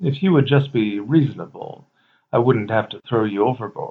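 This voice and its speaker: Growling through a put-on character voice, a man talks at a moderate pace with medium pitch and ordinary pitch variation. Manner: menacing.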